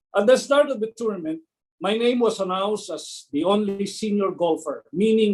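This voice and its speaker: A man with a high voice talks at a moderate speed, his pitch varying in an ordinary way. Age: 60s. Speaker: network marketing distributor. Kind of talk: testimony.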